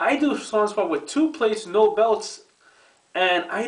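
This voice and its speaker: A man at a fairly slow pace with very wide pitch swings, over a quiet background. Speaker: fitness vlogger. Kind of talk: casual rant to camera. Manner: profane, annoyed. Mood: annoyed, ranting. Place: bathroom. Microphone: webcam.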